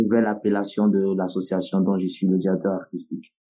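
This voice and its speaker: A man with a Togolese accent. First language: Nawdm (speaking French). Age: 20s. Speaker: slam poet, storyteller, festival director. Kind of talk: interview.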